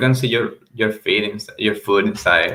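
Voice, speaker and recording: A man with a Venezuelan accent at a fairly slow pace. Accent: Venezuelan Spanish accent, improving. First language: Spanish. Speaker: reseller. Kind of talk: casual livestream chat. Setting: livestream. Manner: halting, repeats words.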